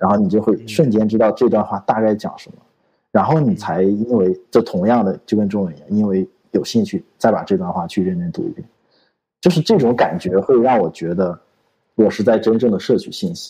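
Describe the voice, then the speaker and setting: A man talks at a fairly quick pace with a fairly low pitch and lively intonation. His tone is dark and mellow. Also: big swings in loudness. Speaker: podcast co-host, programmer. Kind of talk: casual chat.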